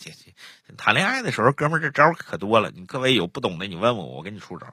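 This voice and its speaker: A man speaks in a bright, sharp tone at a fairly quick pace, with lively intonation. The recording is very clean, with a silent background. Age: 40s. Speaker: storyteller podcast host. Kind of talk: casual chat; storytelling narration.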